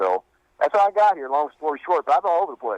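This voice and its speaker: A man speaks with a Kentucky accent. The sound is dry and close, with no echo. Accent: Kentucky Southern US. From Western Kentucky. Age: 40s. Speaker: country singer and company manager. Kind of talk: radio interview. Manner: halting.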